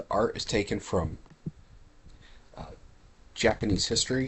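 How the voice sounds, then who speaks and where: Quiet and somewhat breathy, a man speaks with ordinary pitch variation. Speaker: gaming streamer. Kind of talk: live game stream commentary.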